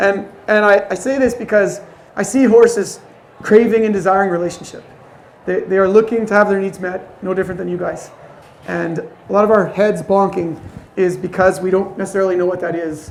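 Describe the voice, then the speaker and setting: Amid noticeable background noise and audible room echo, a man with a high pitch speaks at a fairly quick pace with fairly even intonation. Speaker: horse trainer. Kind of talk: lecture.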